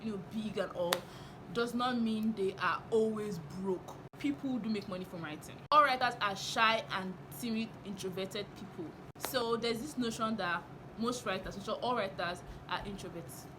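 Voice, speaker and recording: Loud and animated, a woman speaks at a moderate pace and fairly high pitch, with audible room echo. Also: ordinary pitch variation. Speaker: novelist and writing teacher, vlogger. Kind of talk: casual vlog monologue.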